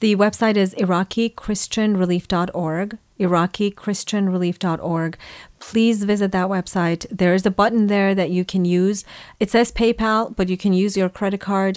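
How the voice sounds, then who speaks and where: A woman speaks at a moderate pace and medium pitch with monotone, flat intonation and very even loudness. The recording is very clean, with a silent background and a dry, close sound with no echo. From Iran, Assyrian family. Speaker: charity founder and advocate. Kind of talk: radio interview.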